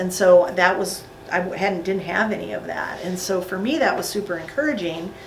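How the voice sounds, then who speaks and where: Noticeable background noise and room echo around a woman speaking at a mid-range pitch. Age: 60s. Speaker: juice fast participant, chiropractic patient. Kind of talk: testimony.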